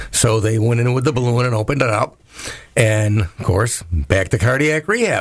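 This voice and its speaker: A man speaks at a moderate pace and medium pitch, with ordinary pitch variation, very even loudness and noticeable background noise. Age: 60s. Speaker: postal worker. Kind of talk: interview conversation. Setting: radio studio.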